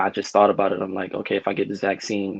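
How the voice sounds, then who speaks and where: A man speaks in a fairly low pitch. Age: 30s. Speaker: healthcare worker. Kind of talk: testimony.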